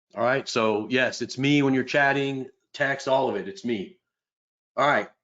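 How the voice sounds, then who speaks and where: The man's pace is moderate. His voice sits at a medium pitch. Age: 50s. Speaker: trading instructor, former firefighter. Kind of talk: live online trading class. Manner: casual, animated.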